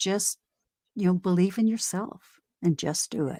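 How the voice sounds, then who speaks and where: Lively in intonation, a woman speaks in a normal speaking voice at a moderate pace, in a very clean recording with a silent background and a dry, close sound with no echo. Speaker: tarot reader. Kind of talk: live tarot reading. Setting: live stream.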